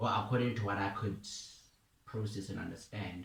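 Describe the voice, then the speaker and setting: Here a man speaks with a fairly low pitch and fairly even intonation. His voice is somewhat breathy. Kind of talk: casual talk to camera, personal testimony. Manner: casual, informal, with filler words and some stuttering.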